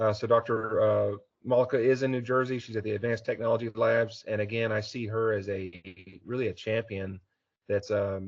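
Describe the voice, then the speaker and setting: Here a man talks fairly quickly in an American accent. His voice is somewhat breathy, with monotone, flat intonation. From Texas, Houston area. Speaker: aerospace engineer. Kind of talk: technical talk. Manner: many filler words, uh.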